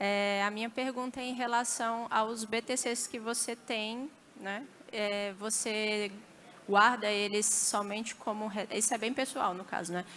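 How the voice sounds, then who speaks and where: A woman's fairly high, bright, sharp voice, fairly slow and with fairly even intonation. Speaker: audience member. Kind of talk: audience question. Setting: stage with audience. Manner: hesitant.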